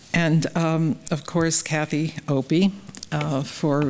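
A woman's very deep, low voice with an American accent and fairly even intonation. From US Midwest, Ohio. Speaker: photographer. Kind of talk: panel talk. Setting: stage with audience. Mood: warm, gracious. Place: hall. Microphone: podium.

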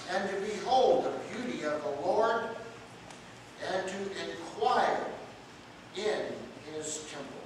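A man speaks at a high pitch with lively intonation, very slowly, with long, frequent pauses. There is strong room echo and noticeable background noise. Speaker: pastor. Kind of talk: scripture reading. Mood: devout, emotional interjections. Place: church. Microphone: camera far.

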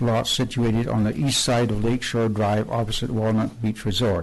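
Noticeable background noise sits behind a man speaking at a moderate pace in a medium pitch. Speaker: town planning director. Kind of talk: reading a staff report at a public hearing. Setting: council chambers. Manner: formal.

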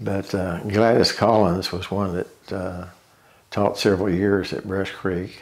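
Ozark accent at a very slow pace, with monotone, flat intonation. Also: man. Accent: Ozarks Arkansas. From Tontitown, Arkansas. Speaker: oral history interviewee. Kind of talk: oral history interview, reminiscing life story. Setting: interview, sitting at home. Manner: slow, reflective; halting, with fillers and repeats. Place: home room.

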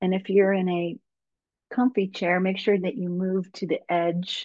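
Against a quiet background, a woman speaks with fairly even intonation in a dry sound with no echo. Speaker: yoga teacher and English professor; yoga teacher, English professor. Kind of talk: guided meditation. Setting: video call webinar. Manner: slow, calm, soothing. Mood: calm, soothing guidance. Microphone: webcam.

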